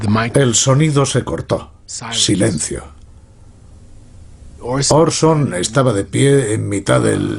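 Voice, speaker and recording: Lively intonation at a very slow pace, with long, frequent pauses. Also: man, medium pitch for a man. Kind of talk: interview answer.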